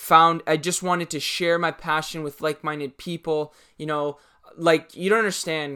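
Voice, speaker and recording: On a very clean recording with a silent background, the speaker uses an animated tone and a Canadian accent at a moderate pace. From Canada, Toronto. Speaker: YouTube fashion and sneaker creator. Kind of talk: casual Q&A monologue to camera. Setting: home recording in corner of room.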